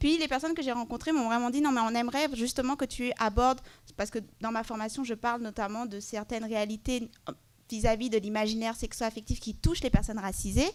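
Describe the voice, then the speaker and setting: A woman with a fairly high pitch talks at a very fast pace, her intonation fairly even. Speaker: panelist, LGBTQ+ advocacy project manager. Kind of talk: conference panel presentation.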